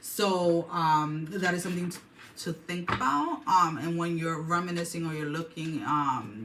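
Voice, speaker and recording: Fairly low female voice amid audible room echo and background music. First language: not English. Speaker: tarot reader. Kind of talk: tarot reading monologue. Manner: hesitant, many fillers and restarts.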